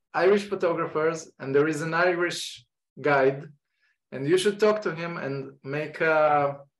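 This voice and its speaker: With an Israeli accent, a man talks at a fairly slow pace and fairly high pitch, using ordinary pitch variation. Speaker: photography teacher. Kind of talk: online lecture introduction. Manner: halting.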